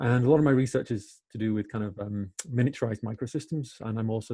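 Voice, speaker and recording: A man talks at a very fast pace with a fairly low pitch. His dark, mellow tone is somewhat breathy. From Wales. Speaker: engineering professor. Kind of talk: webinar interview. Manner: hesitant, many fillers.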